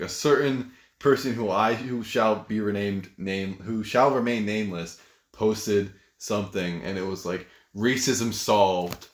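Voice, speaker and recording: Very clean and set against a silent background, this recording has a man with an American accent speaking at a moderate pace, his pitch fairly low and varying in an ordinary way. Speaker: podcast co-host. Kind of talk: casual chat.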